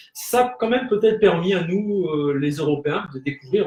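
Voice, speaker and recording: A man speaks with a high pitch. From French Polynesia (Tahiti). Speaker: spiritual guest on web show. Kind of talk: casual live talk show chat. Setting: live broadcast around a table. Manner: hesitant, many fillers.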